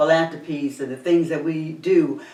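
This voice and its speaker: Audible room echo carries a woman's very deep, low voice as she speaks at a moderate pace. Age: 60s. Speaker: talk show host. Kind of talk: casual chat.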